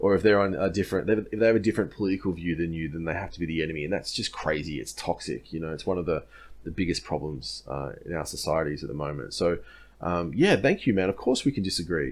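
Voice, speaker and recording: Very fast speech in an Australian accent with lively intonation. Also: man. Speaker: history content creator. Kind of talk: casual Q&A monologue. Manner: casual, many filler words.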